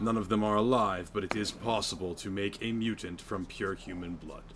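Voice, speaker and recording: In a put-on character voice, a man talks at a fairly low pitch and moderate pace. Background noise is clearly audible. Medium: game stream. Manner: calm, dry.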